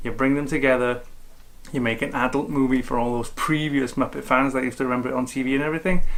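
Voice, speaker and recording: A man at a very fast pace, medium pitch, with audible room echo. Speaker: film critic. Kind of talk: film review vlog.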